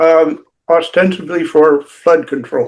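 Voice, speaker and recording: Fairly even in intonation, a man's voice sits at a fairly high pitch. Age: 80s+. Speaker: wildlife conservation activist. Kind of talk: casual chat. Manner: halting, many fillers.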